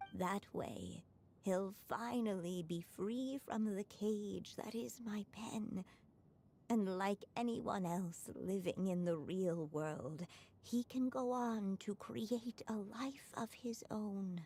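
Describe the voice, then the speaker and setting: The speaker uses a put-on character voice with a gentle tone, going at a very slow pace. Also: woman, medium pitch for a woman, ordinary pitch variation. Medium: video game. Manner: gentle, tender.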